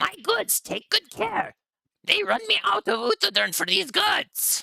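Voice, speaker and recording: A man shouts in a shrill, high-pitched, put-on character voice. His pace is fairly slow. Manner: shouting.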